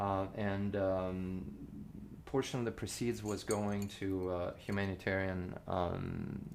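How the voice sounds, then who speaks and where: Speaking very slowly with a Russian accent, the voice holds a fairly even intonation. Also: man, very deep, low pitch for a man. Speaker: cellist and composer. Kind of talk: casual interview chat. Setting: informal show recording with drinks. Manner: halting, many fillers and restarts.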